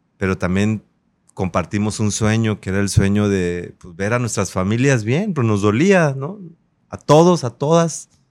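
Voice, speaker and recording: A man with a plain, everyday voice speaks at a fairly slow pace and fairly low pitch, his intonation lively and his loudness swinging widely, in a very clean recording with a silent background. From Acapulco, Guerrero, Mexico. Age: 30s. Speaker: politician. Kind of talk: interview.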